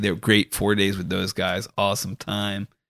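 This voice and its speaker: A man with an American accent, fairly low pitch, vocal fry and a moderate pace, in a very clean recording with a silent background. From US Northeast, Rhode Island. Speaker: golf caddie. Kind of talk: casual chat.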